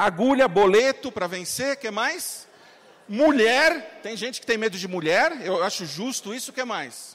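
Noticeable background noise surrounds a man whose high pitch, lively intonation and animated tone come with big swings in loudness. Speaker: marketing entrepreneur and motivational speaker. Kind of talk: motivational talk. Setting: stage with audience. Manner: fast.

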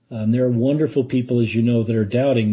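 Somewhat breathy and medium-pitched, a man speaks at a very fast pace. His intonation is monotone and flat. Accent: American. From US West, Utah (Salt Lake City). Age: 50s. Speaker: lay church leader. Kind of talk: interview. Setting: podcast.

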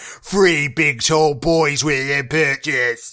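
A man in a put-on character voice with a fairly high pitch, at a very slow pace

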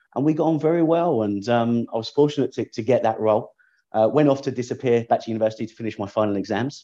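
This man has a London accent and a dark, mellow tone. He talks at a very fast pace against a quiet background. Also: medium pitch for a man, ordinary pitch variation. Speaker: tech startup founder, former airline executive. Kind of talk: interview.

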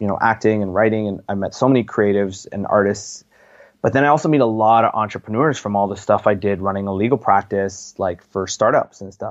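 A normal speaking voice from a man with a Canadian accent, fairly low in pitch, at a fairly quick pace. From Canada, Toronto area (Pickering, Ontario). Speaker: actor, rapper and filmmaker. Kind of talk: interview conversation.

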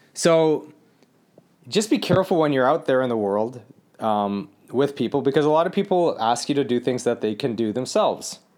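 This man has an unremarkable speaking voice, fairly high in pitch, with lively intonation and a moderate pace. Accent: American. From Los Angeles, US. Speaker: podcast host. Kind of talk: casual solo podcast monologue. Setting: villa in the Philippines. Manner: casual, conversational.

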